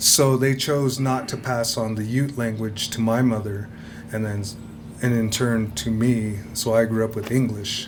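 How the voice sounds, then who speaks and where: A man with an American accent speaks fairly slowly at a medium pitch, his intonation monotone and flat. Room echo is audible, along with noticeable background noise. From Ute reservation, Fort Duchesne, Utah. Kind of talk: lecture. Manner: hesitant, filler-heavy.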